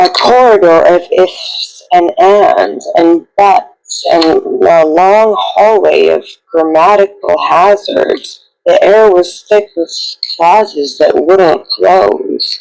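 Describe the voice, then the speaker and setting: A put-on character voice, raspy, delivered at a very slow pace. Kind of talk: literary dark fable narration. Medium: read story. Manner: measured, poetic.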